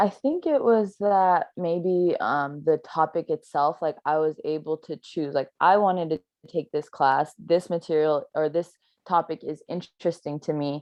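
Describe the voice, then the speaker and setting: A woman talks in a plain, everyday voice at a fairly low pitch. Her pace is fairly slow, with ordinary pitch variation. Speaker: youth panelist. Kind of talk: panel discussion.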